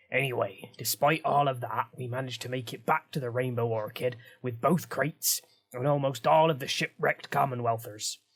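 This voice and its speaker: In a put-on character voice, a man talks at a fairly quick pace, raspy and medium-pitched. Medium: read story. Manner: cheerful, boastful.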